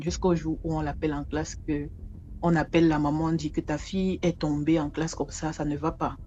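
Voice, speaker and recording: With a very deep, low pitch, a woman speaks at a fairly quick pace in a monotone, flat intonation. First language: an African local language (speaking French). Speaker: storyteller. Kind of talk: oral storytelling. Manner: conversational, repetitive.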